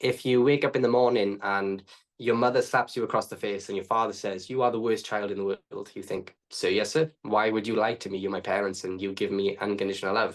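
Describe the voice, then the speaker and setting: A man speaks with a Welsh accent at a fairly quick pace. His pitch is medium, and the background is quiet. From Wales. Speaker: trauma coach. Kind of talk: podcast interview. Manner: fast.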